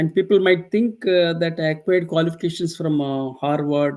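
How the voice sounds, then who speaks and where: A man with an Indian accent speaks in a fairly high pitch, with ordinary pitch variation. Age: 60s. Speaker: professor. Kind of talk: interview. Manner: slow; halting.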